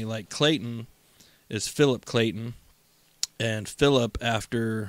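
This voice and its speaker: A man talking at a very slow pace. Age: 30s. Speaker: podcast co-host. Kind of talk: casual chat.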